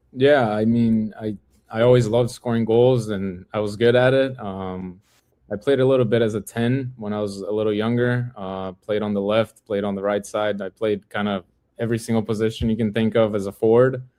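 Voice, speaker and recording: A man speaks with a Portuguese accent in a fairly low pitch. His delivery is monotone and flat, with a dark, mellow tone. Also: moderate pace. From Brazil, Sao Paulo. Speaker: professional footballer. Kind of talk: podcast interview.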